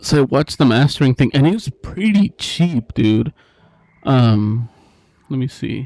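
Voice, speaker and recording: A man with a medium-pitched voice talks at a fairly slow pace, using lively intonation and long, frequent pauses. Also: dry, close sound with no echo. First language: Spanish. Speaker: music live streamer. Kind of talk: casual live stream chat. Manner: casual, filler-heavy.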